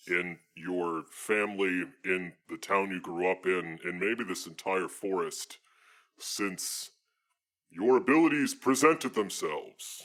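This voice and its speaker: Putting on a character voice, a man speaks at a fairly slow pace and a fairly low pitch. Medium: actual play. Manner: earnest, formal, addresses her as mistress.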